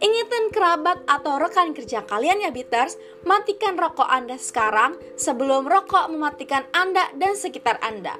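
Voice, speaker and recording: A raised, projected voice with very wide pitch swings moves at a moderate pace with hardly any pauses over noticeable background noise. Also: woman, high pitch for a woman. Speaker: student radio announcer. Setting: radio studio broadcast. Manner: animated; bubbly, friendly and playful.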